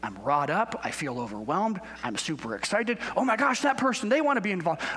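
Against noticeable background noise, a man speaks fairly quickly in a high pitch with very wide pitch swings. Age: 40s. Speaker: guest pastor. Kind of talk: sermon. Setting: church.

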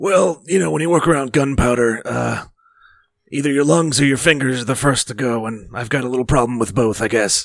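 Using a raspy, put-on character voice, a man talks at a fairly quick pace in a medium pitch with lively intonation. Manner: gravelly and weathered.

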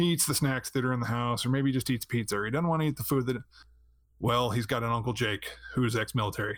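This is a man using a normal speaking voice. His pitch is medium and his intonation fairly even. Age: 30s. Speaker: streamer and former announcer. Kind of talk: casual chat.

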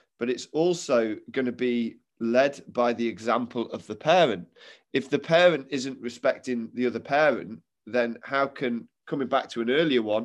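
A man with an East Midlands accent speaks at a moderate pace in an animated, enthusiastic tone, with medium pitch and ordinary pitch variation. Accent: Derby East Midlands English. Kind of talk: casual interview.

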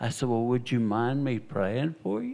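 A man talks with a Southern US accent. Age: 60s. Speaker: evangelist and missionary preacher. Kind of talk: testimony. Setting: church. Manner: animated.

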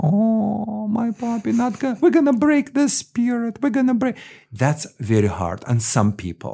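In a very clean recording with a silent background, a man with a Russian accent speaks slowly-ish at a fairly slow pace, his dark, mellow tone somewhat breathy and his pitch swinging very widely. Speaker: dog trainer. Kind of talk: interview. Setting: animal hospital. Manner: animated.

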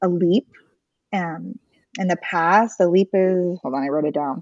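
A woman with an unremarkable speaking voice talks at medium pitch and a fairly slow pace, with ordinary pitch variation. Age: 30s. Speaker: stay-at-home mom, former nurse. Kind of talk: casual interview.

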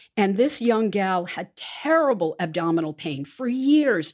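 A woman at a moderate pace with very wide pitch swings, in a very clean recording with a silent background. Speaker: podcast host. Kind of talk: interview, scripted intro then casual chat.

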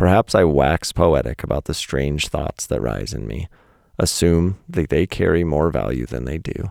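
A man with a very deep, low voice and vocal fry talks at a moderate pace with lively intonation, in a dry, close sound with no echo. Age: 40s. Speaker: podcast host and poet. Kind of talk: reading own essay aloud. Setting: home recording under the stairs. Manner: casual, laughing.

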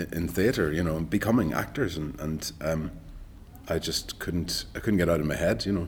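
Here a man speaks in a Donegal accent. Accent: Donegal Irish. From Ireland, rural Donegal. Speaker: actor. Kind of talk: casual interview. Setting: studio.

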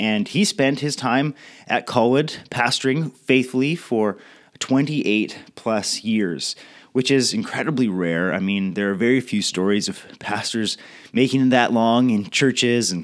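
A man with a Western Canadian accent at medium pitch, ordinary pitch variation and a fairly slow pace, on a very clean recording with a silent background. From Canada, Victoria BC. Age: 30s. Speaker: pastor. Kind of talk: recorded leadership talk. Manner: casual.

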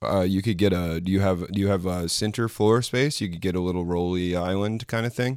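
A man with an American accent and a very deep, low pitch talks at a fairly quick pace with hardly any pauses and ordinary pitch variation. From Florida. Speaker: podcast co-host. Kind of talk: casual chat.

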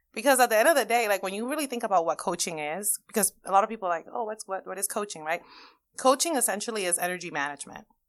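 A woman with a Spanish accent talks at a very fast pace. Her loudness swings widely. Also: medium pitch for a woman, lively intonation, very clean recording, silent background. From Dominican Republic, then New York. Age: 30s. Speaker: life coach. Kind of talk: interview.

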